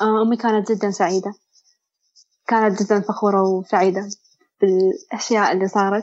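A woman speaks at a medium pitch and a fairly slow pace, with long, frequent pauses. Her intonation is monotone and flat, and her loudness stays very even. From Bahrain. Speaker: medical student sharing mental health experience. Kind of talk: testimony.

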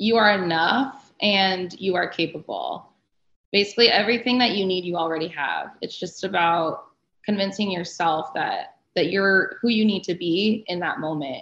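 With an American accent and a plain, everyday voice, a woman speaks at a moderate pace and medium pitch, using ordinary pitch variation. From Arizona, US. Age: 30s. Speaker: sports agent. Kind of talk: interview.

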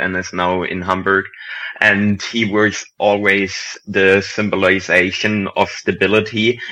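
In a German accent, a man speaks very slowly with a fairly low pitch, a bright, sharp tone and monotone, flat intonation. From Germany. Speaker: football writer. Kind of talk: casual chat.

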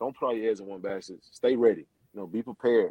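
Talking at a fairly quick pace, a man has an ordinary speaking voice at a medium pitch. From South Florida, Pompano Beach. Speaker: college football coach, former NFL player. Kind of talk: casual interview.

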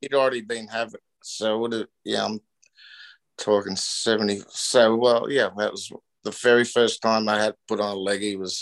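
Over a quiet background, a man of medium pitch speaks at a moderate pace in a monotone, flat delivery, the sound dry and close with no echo. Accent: Australian. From Australia (Newcastle, NSW). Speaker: surfboard shaper and pioneering surfer. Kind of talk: casual interview.

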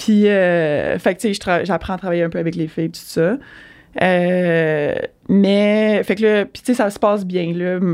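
A woman with a Quebec accent, medium pitch and fairly even intonation, at a very slow pace. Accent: Québécois French. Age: 30s. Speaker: triathlete, former elite swimmer. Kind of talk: casual interview.

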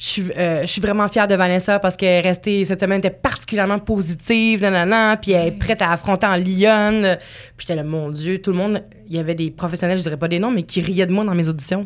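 A woman speaks at a fairly quick pace in a medium pitch, her intonation fairly even. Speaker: podcast host. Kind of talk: casual chat.

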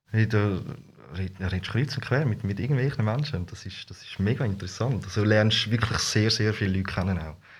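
A man with an unremarkable speaking voice talks fairly quickly at a fairly low pitch with hardly any pauses, ordinary pitch variation and big swings in loudness. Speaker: costumed street performer. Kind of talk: casual interview. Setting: studio.

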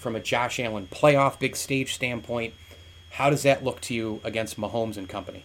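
A man with an American accent at a moderate pace, medium pitch and ordinary pitch variation, over noticeable background noise. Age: 40s. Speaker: sports podcast host. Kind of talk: casual sports chat. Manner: animated.

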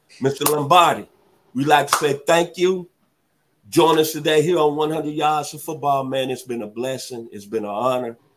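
A man speaks in an animated tone at a moderate pace, his loudness swinging widely. His pitch is fairly high, with ordinary variation. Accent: Southern US. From US South, Memphis, Tennessee. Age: 60s. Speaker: sports podcast host. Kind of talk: interview. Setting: studio.

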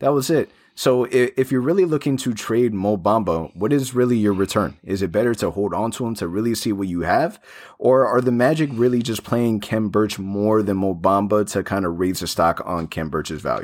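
On a very clean recording with a silent background, a man with a fairly low pitch speaks in an ordinary speaking voice at a moderate pace, with ordinary pitch variation. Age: 30s. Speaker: sports podcast host. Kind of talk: casual chat. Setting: studio.

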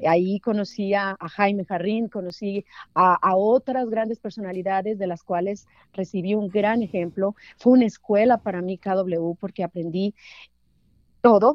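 This woman has a normal speaking voice at medium pitch. She talks at a fairly slow pace with fairly even intonation. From Mexico, Durango. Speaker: sports journalist. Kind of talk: interview.

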